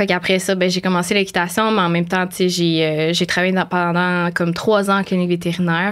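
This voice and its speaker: Speaking at a fairly quick pace, a woman with a fairly low pitch is captured in a very clean recording against a silent background. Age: 20s. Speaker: animal communicator. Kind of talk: podcast interview. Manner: hesitant, many fillers.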